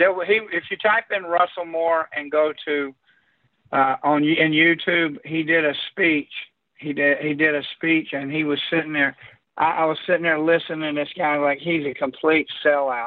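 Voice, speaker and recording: Using an ordinary speaking voice, a man with an American accent talks at a moderate pace, fairly high in pitch with fairly even intonation. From Orlando, Florida, US. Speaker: caller. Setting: phone call.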